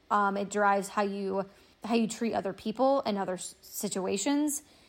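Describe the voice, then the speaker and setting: Recorded very cleanly against a silent background, a woman speaks at a fairly high pitch. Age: 30s. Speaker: personal finance podcaster. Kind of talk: solo podcast monologue.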